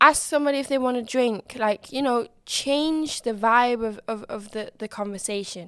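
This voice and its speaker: With hardly any pauses, a woman speaks at a moderate pace in a high pitch and ordinary pitch variation. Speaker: podcast host. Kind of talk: casual solo podcast monologue. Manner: animated, excitable, laughs openly; informal, warm, upbeat.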